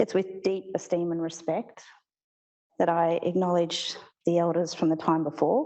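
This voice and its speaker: Speaking at a moderate pace, a woman with an Australian accent sounds shaky, her fairly low pitch held in fairly even intonation. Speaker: postgraduate research student. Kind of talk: academic presentation. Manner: shaky voice.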